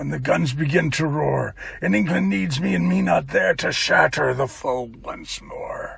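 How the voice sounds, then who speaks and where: The man adopts a raspy put-on character voice and keeps a moderate speed. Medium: read story. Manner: fierce, resolute.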